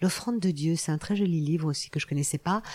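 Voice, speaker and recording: The recording is very clean and the background silent. The speaker is a woman. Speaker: biographer and anthropologist. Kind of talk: interview. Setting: research laboratory. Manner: hesitant, with many fillers.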